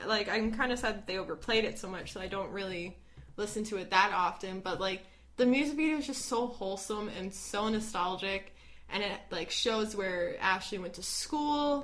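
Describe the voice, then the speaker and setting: A woman with a Midwestern accent speaks at fairly high pitch with lively intonation. Her pace is moderate, and the room echo is audible. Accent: Midwest. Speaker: music podcast co-host. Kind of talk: casual chat.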